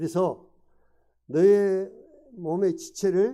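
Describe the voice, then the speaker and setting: This man's voice has a dark, mellow tone. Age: 70s. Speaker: lay preacher. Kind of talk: sermon. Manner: interactive questioning of audience.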